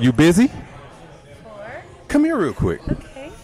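A man's animated tone with crowd noise in the background. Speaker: podcast host. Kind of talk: casual live podcast banter with crowd hype. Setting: live show with audience in a loud venue. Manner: animated, loud, hype-man energy.

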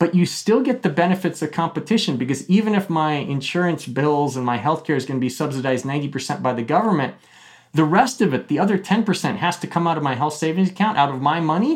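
A man with a fairly high pitch talks fairly quickly in an ordinary speaking voice. His intonation is lively, and the background is quiet. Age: 40s. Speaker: economist. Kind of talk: interview.

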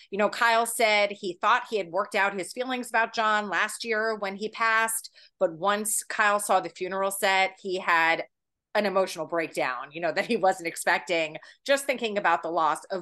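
A woman's enthusiastic, bright, sharp voice at medium pitch, with ordinary pitch variation, a moderate pace and a quiet background. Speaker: magazine editor and podcast host. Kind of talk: casual interview.

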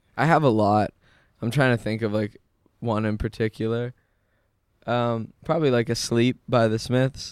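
A man speaks at a moderate pace with a medium pitch and fairly even intonation, leaving long, frequent pauses. The sound is dry and close with no echo, on a very clean recording with a silent background. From Canada, Manitoba (small town near Winnipeg). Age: 20s. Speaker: musician. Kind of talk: casual interview chat. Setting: studio.

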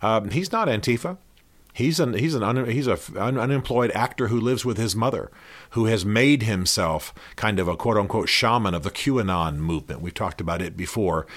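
A man with an American accent speaks in a plain, everyday voice at medium pitch, with lively intonation and a fairly quick pace. The recording is very clean, with a silent background. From US South (Georgia). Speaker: podcast host, author and faith commentator. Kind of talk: solo commentary monologue. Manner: earnest, conversational.

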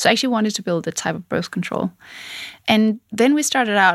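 A woman talks at a fairly quick pace with lively intonation and vocal fry at a medium pitch. The sound is dry and close, with no echo. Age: 40s. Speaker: tech founder. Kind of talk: interview.

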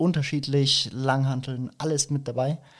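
A man at a moderate pace with fairly even intonation, a normal speaking voice, on a very clean recording with a silent background. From Franconia, Germany (Nuremberg). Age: 20s. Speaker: fitness coach. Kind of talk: casual interview.

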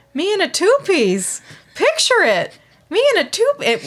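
A woman puts on a squeaky character voice in a Minnesota accent, at an extremely high pitch. She swings her pitch very widely and keeps a moderate pace. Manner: dreamy, self-admiring.

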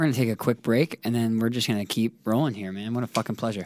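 In a very clean recording with a silent background and a dry, close sound with no echo, a man with an unremarkable speaking voice talks at a medium pitch and a fairly quick pace. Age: 20s. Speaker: podcast host and musician. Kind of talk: casual interview chat. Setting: studio.

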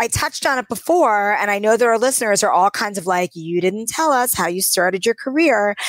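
With an American accent, a woman uses an ordinary speaking voice, fairly high in pitch, with lively intonation at a fairly quick pace, on a very clean recording with a silent background and a dry, close sound with no echo. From New York City. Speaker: podcast host. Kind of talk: casual chat.

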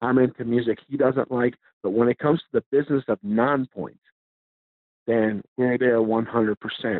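This man has a normal speaking voice pitched in the middle range. He keeps a moderate speed and fairly even intonation. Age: 40s. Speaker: metal band musician. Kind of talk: casual interview. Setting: phone call.

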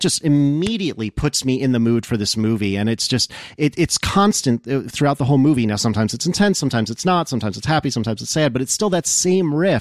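Lively intonation marks a man's very fast delivery with hardly any pauses, in a dry, close sound with no echo. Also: very clean recording, silent background. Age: 30s. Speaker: podcast guest. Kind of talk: casual chat.

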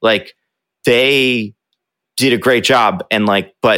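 Bright and sharp in tone, a man with an American accent speaks at medium pitch with fairly even intonation. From northeast New Jersey, Bergen County. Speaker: YouTuber and video editor. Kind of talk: interview. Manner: casual.

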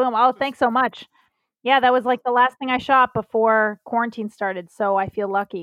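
Here is a woman with an American accent and a plain, everyday voice, pitched fairly high. She keeps a moderate pace and fairly even intonation. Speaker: comedian. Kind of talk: casual chat. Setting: video call. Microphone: bad internet connection.

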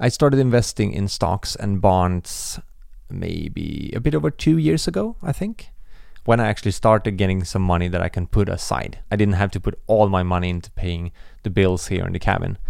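Here a man speaks at a moderate pace. His voice is fairly low, with ordinary pitch variation. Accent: Swedish. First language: Swedish. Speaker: podcast host and video creator. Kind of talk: casual solo Q and A. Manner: casual, reflective, laughs often.

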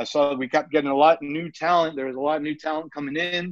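With a New York accent, a man speaks at a fairly high pitch and ordinary pitch variation. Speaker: pro wrestler and wrestling coach. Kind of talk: interview. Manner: casual, hesitant with fillers.

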